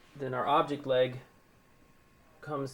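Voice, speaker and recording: Slow-paced and monotone, a man talks in a flat intonation at a medium pitch. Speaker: researcher demonstrating lab optics. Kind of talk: technical demonstration narration. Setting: lab, recorded on tape. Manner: halting, many fillers.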